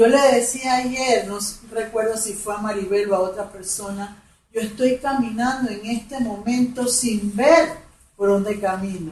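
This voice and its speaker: A woman with a fairly high pitch speaks at a fairly slow pace with ordinary pitch variation amid audible room echo. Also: big swings in loudness. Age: 60s. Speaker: women's ministry speaker. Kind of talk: testimony.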